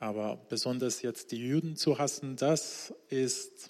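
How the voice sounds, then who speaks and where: A man speaks with a fairly high pitch. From Iran, Isfahan. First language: Persian (speaking German). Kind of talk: church interview testimony. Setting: church stage with congregation.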